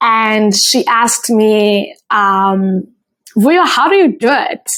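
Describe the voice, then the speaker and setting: Speaking very slowly at very even loudness, a woman with a South African accent uses a fairly high pitch. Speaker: podcast host. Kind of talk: solo podcast monologue. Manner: casual, with frequent fillers.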